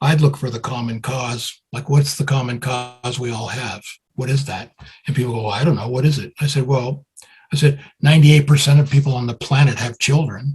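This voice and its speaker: A man with a New York accent talks at a fairly quick pace and medium pitch, his intonation fairly even but his loudness swinging widely. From US Northeast, Brooklyn, New York. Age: 70s. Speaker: music promoter and songwriter. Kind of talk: interview.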